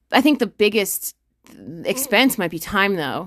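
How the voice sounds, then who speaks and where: The pace is fairly slow. It is a woman who speaks. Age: 20s. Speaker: podcast host and ultra runner. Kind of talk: casual chat.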